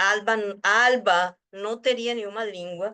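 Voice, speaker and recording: A woman's fairly high voice with a Spanish accent, bright and sharp in tone, at a very slow pace with ordinary pitch variation. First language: Spanish (speaking Portuguese). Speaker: research group leader and translator. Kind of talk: casual conversation. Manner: halting.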